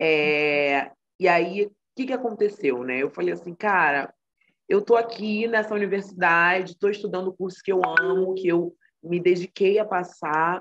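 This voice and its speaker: Here a woman talks in a normal speaking voice with ordinary pitch variation. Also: medium pitch for a woman. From Brazil, Rio de Janeiro (Baixada Fluminense). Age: 20s. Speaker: psychology student and mental health project co-founder. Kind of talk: interview conversation.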